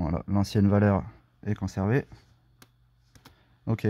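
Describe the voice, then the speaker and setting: A man's dark, mellow voice at a fairly slow pace. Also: dry, close sound with no echo. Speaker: car enthusiast doing own diagnostics. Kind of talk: casual screen-recorded car tutorial.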